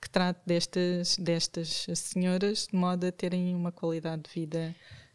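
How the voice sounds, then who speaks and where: Speaking in a monotone, flat intonation at a moderate pace, a woman with a fairly low pitch is heard in dry, close sound with no echo on a very clean recording with a silent background. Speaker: family doctor. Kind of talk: expert interview.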